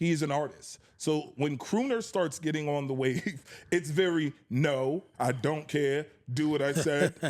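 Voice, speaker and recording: A man talks at a fairly slow pace with a fairly high pitch and ordinary pitch variation. He has an unremarkable speaking voice, and his loudness stays very even. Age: 30s. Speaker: R&B singer and music label executive. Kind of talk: casual interview.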